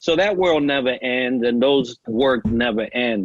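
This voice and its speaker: A man's medium-pitched voice with a New York accent. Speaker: navy veteran and leadership coach. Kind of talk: podcast interview. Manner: conversational, frequent fillers.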